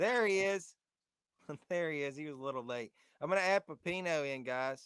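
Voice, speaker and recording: A man with a Southern accent talks at a fairly quick pace and fairly high pitch with lively intonation, in a dry, close sound with no echo. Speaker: podcast host. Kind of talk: casual chat. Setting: live stream.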